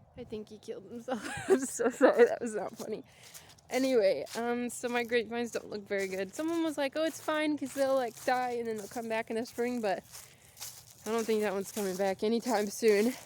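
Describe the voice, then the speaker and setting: A woman's high-pitched voice at a fairly quick pace, ordinary pitch variation, and noticeable background noise. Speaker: vlogger. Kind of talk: casual vlog monologue. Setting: outdoors, walking.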